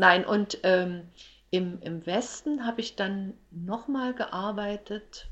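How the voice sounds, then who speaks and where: A woman talks at a very slow pace in a medium pitch. Her pitch varies in an ordinary way. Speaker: entertainer and actress. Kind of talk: casual interview chat.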